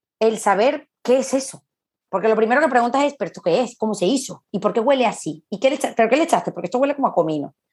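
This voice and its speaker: A woman talks at a very fast pace in a Venezuelan accent, her pitch fairly high. Her tone is animated and her intonation lively. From Venezuela, Caracas. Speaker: gastronomy academy director, food journalist. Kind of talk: casual interview.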